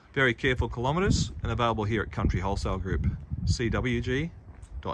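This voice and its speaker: Loud background noise runs under this recording. Over it, a man speaks at a fairly low pitch. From Australia. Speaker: car dealer salesperson. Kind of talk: car dealership sales pitch, walkaround video. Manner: upbeat, salesy, repeating 'outstanding' and pushing for a visit. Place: street. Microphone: phone near.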